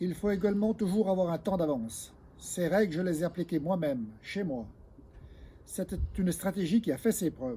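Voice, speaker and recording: Here a man with a high voice talks at a moderate pace, leaving long, frequent pauses. His tone is dark and mellow, with lively intonation. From France, Haute-Savoie. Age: 60s. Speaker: local election candidate and farmer. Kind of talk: campaign speech.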